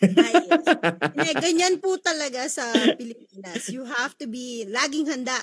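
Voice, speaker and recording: A woman talks at a high pitch with very wide pitch swings. Her loudness shifts greatly, and her pace is moderate. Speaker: radio host. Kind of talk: radio show hosting. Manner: upbeat.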